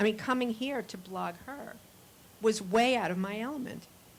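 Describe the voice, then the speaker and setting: This woman has a plain, everyday voice, pitched fairly high. Her moderate pace comes with fairly even intonation. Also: big swings in loudness. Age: 60s. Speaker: audience member, newspaper founder and CEO. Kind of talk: conference audience discussion.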